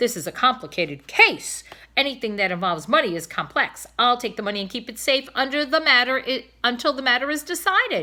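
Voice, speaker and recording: A woman puts on a character voice, high in pitch with very wide pitch swings. Her loudness swings a lot, and she goes at a fairly quick pace. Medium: read story. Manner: bossy, officious.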